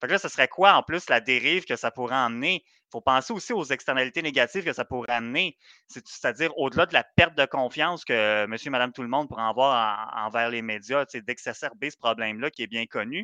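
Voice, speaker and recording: A man talks at medium pitch with hardly any pauses. It is an ordinary speaking voice with ordinary pitch variation. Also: fairly quick pace, big swings in loudness. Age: young. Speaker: podcast co-host. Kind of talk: casual chat.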